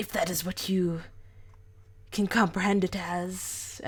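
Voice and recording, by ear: A put-on character voice, female-sounding, at medium pitch for a woman, monotone and flat, fairly slow, in a very clean recording with a silent background.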